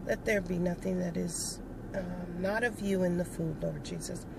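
Over noticeable background noise, a woman speaks with fairly even intonation in a dry sound with no echo. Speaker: food vlogger. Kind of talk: casual vlog chat. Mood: relaxed, warm. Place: car. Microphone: phone near.

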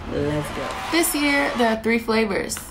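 There is noticeable noise in the background. Through it, a woman talks. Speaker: snack reviewer. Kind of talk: casual vlog chat. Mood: upbeat, enthusiastic.

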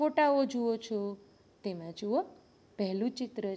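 A woman's fairly high-pitched voice. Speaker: school teacher. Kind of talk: lesson.

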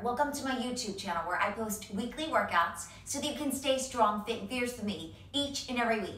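Audible room echo surrounds a woman speaking at a moderate pace with a high pitch. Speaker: fitness instructor. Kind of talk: workout video intro. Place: home room.

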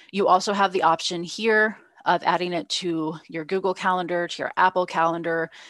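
A woman's fairly low voice in a flat monotone, at a moderate pace, dry with no echo against a quiet background. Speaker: beer judge trainer. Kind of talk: webinar presentation with slides. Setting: online webinar, live-streamed. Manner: friendly, self-deprecating, conversational. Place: home room. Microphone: video call.

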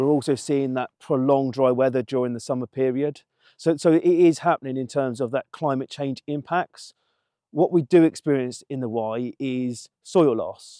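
This man's dark, mellow voice moves at a moderate pace, the sound dry with no echo over a quiet background. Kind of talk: interview answer. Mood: earnest, explanatory. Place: open country. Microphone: lapel.

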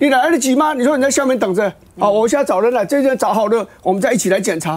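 A man with a Taiwanese accent. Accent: Taiwanese Mandarin. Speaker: former legislator. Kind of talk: heated debate. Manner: loud. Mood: indignant, argumentative. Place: studio.

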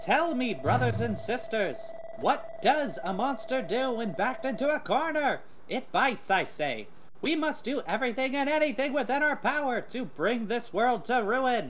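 The speaker uses a put-on character voice. The pitch sits fairly high. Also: moderate pace. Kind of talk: sermon, grand theatrical oration. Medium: machinima. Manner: fervent, solemn.

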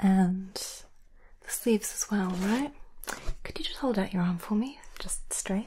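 Soft-spoken and somewhat breathy, a woman talks in a gentle, dark, mellow tone over light background noise. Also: ordinary pitch variation. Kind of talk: roleplay talk to viewer. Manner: soft-spoken, gentle ASMR voice. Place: home room.

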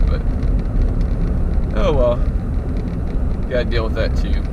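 A man speaks against loud background noise. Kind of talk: casual vlog chat. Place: car. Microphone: camera far.

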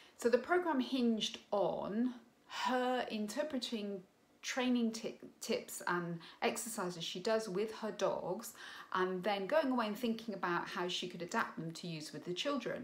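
With lively intonation, a woman talks at a fairly slow pace. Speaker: parent coach. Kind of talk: opinion commentary. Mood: critical, earnest. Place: home room. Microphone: phone near.

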